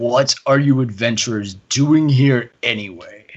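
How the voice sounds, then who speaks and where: A booming put-on character voice at a fairly slow pace. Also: man, medium pitch for a man. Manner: commanding.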